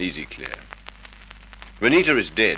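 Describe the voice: Putting on a character voice, a man speaks slowly at a low pitch with a bright, sharp tone and big pitch swings.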